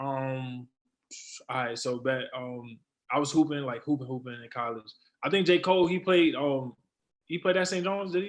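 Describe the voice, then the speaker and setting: A man with a New York accent speaks at a fairly high pitch and a moderate pace, with ordinary pitch variation. His loudness swings widely, and he leaves long, frequent pauses. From New York City (Brooklyn and the Bronx). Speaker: rapper. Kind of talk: interview.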